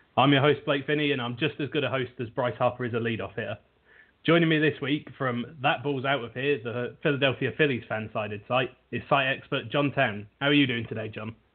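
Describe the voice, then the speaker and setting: In a British accent, a man speaks at a fairly quick pace with a medium pitch. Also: fairly even intonation. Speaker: sports podcast host. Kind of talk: casual chat. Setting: internet radio show.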